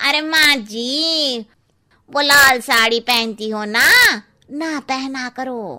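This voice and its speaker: A woman uses a cartoonish character voice, pitched high. She speaks at a very slow pace with ordinary pitch variation. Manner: blunt, familiar, cheeky.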